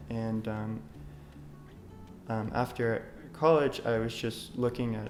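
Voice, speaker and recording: With an American accent, a man speaks at a fairly slow pace and a medium pitch. There is audible echo in the room. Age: 20s. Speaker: oncology clinical research coordinator. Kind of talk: interview monologue. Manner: halting, many fillers.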